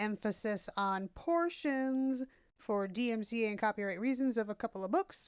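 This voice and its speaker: A woman talks in an unremarkable speaking voice, fairly high in pitch, with ordinary pitch variation. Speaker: gaming YouTuber reading books aloud. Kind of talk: casual intro before reading aloud. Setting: walking around while recording.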